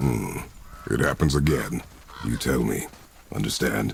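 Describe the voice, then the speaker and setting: A growling, stern put-on character voice from a man, very deep and low in pitch, at a moderate pace. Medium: video game. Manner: terse, stern.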